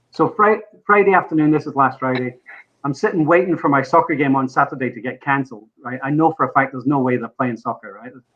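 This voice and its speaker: A man with a Scottish accent speaks very fast at a fairly high pitch. His loudness swings widely. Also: ordinary pitch variation. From Scotland. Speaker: podcast guest, motorsport fan. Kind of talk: casual chat.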